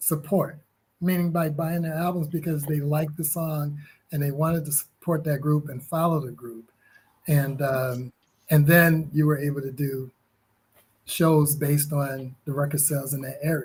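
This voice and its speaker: A man with an American accent speaks in a fairly high, somewhat breathy voice with a flat, monotone delivery. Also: moderate pace. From Connecticut, US. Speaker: musician. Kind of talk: interview. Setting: livestreamed podcast.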